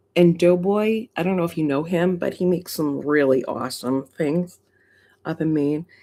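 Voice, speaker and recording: Over a silent background in a very clean recording, a woman with a Massachusetts accent speaks at a moderate pace in a dark, mellow tone and a fairly low pitch. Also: ordinary pitch variation. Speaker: coin collecting livestreamer. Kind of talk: casual livestream chat. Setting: home livestream. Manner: animated.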